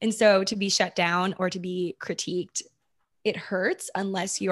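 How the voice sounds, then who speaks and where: A woman with a Mid-Atlantic accent talks at a moderate pace, her medium pitch held in fairly even intonation. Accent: American, Mid-Atlantic. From US, Maryland. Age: 20s. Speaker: social media creator and podcaster. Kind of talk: casual interview chat.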